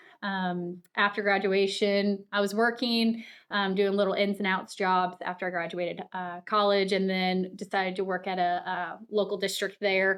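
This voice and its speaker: On a very clean recording with a silent background, a woman with an American accent speaks at a medium pitch and moderate pace with monotone, flat intonation. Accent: Midwestern with a slight Southern touch. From US Midwest, north of Saint Louis, Missouri. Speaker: high school science teacher. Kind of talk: interview conversation.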